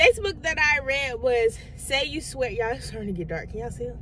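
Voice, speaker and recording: A woman talks over noticeable background noise. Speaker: book vlogger. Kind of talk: casual chat.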